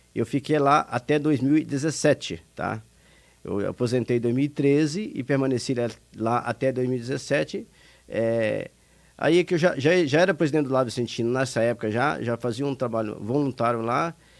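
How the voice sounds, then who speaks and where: A man talks at a moderate pace with ordinary pitch variation, recorded very cleanly against a silent background. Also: medium pitch for a man. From Brazil, Minas Gerais. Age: 60s. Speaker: retired industry administrator, charity director. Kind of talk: radio interview.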